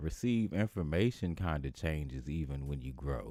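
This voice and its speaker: A man's dark, mellow voice at a fairly slow pace. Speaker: funk musician and podcast host. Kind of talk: casual livestream chat. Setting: livestream on camera. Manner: casual, conversational.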